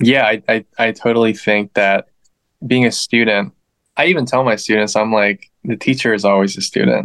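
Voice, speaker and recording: An ordinary speaking voice: a man at medium pitch, moderate pace, ordinary pitch variation, very even loudness, and a dry, close sound with no echo. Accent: American. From Northern Virginia, US. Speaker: guitarist and music teacher. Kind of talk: casual interview.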